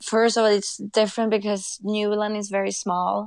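A woman's fairly high voice in a Swedish accent with monotone, flat intonation. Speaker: commercial director. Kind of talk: interview. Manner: halting.

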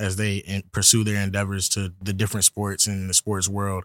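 Recorded very cleanly against a silent background, a man with an American accent speaks at a fairly low pitch. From Virginia. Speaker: student podcast host. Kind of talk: interview.

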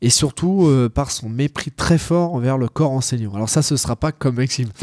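A man's dark, mellow voice with lively intonation, recorded dry and close with no echo. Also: very clean recording, silent background. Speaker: jiu-jitsu competitor and podcast co-host. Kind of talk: casual chat.

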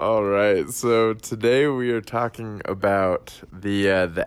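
An unremarkable speaking voice, a man's at a fairly low pitch, with ordinary pitch variation and a fairly slow pace. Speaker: podcast host. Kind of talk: casual banter podcast. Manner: laughing, joking.

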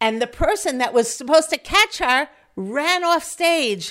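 A woman with a New York accent speaks very slowly at a high pitch with very wide pitch swings, recorded very cleanly against a silent background. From US Northeast, Long Island Five Towns. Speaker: community organizer and educator. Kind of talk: casual interview.

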